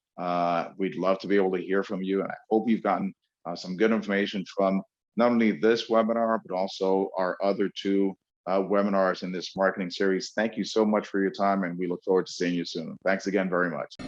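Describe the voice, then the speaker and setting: The man speaks fairly quickly at a fairly low pitch. His intonation is monotone and flat, against a quiet background. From New York. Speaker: webinar host and speaking coach. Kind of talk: webinar lecture. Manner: fast.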